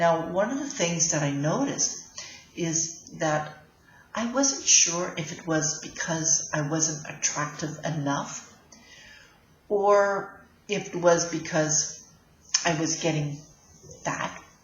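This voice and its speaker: In a room with audible echo, a woman speaks at a very slow pace with long, frequent pauses, using a fairly low pitch and ordinary pitch variation. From Canada. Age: 60s. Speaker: life coach. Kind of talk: casual vlog talk. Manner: halting, with fillers.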